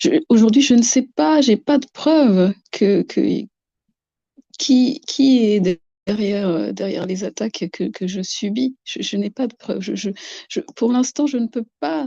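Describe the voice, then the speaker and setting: A woman speaks very slowly, with long, frequent pauses, at a fairly high pitch, using lively intonation in a somewhat breathy voice with a dark, mellow tone. The sound is dry and close, with no echo. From Madagascar. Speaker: guest describing harassment experiences. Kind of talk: testimony. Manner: halting, many repetitions.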